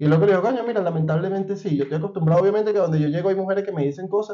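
With ordinary pitch variation, the man's high voice moves at a very fast pace. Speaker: podcast host. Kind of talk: casual chat. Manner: animated.

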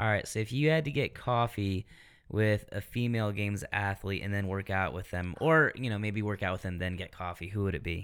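Over a silent background in a very clean recording, a man with a fairly low pitch and ordinary pitch variation talks at a fairly quick pace. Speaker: fitness podcast host. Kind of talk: interview. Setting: studio.

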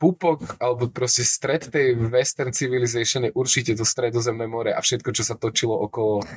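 Somewhat breathy and at a fairly quick pace, a man speaks in a medium pitch with a dry, close sound and no echo. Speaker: podcast host. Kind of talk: casual chat. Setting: café in Prague.

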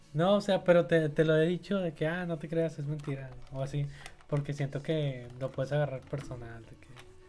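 A man speaks at a moderate pace with a fairly high pitch and fairly even intonation. His loudness swings widely over noticeable background noise. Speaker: podcast co-host. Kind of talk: casual chat.

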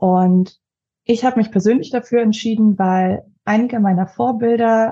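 Somewhat breathy and dark, mellow in tone, a woman speaks at a fairly slow pace with fairly even intonation. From Leipzig, Saxony, Germany. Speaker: finance advisor and coaching client. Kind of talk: casual interview.

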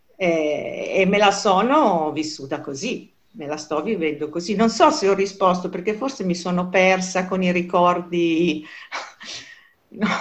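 Slowish and unhurried, a woman's fairly slow speech carries audible room echo. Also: medium pitch for a woman, ordinary pitch variation. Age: 60s. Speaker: self-employed professional interviewee. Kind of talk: interview. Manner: hesitant, with many fillers.

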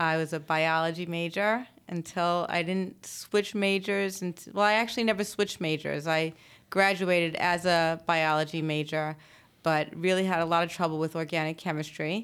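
An ordinary speaking voice from a woman, fairly low in pitch, with fairly even intonation at a moderate pace, in a very clean recording over a silent background. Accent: American. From Brooklyn and Long Island, New York. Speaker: attorney and law firm owner. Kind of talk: interview.

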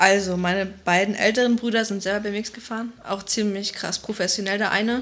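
Over noticeable background noise, a woman talks at a fairly quick pace in a monotone, flat intonation. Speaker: BMX athlete. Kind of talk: interview. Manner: casual, colloquial.

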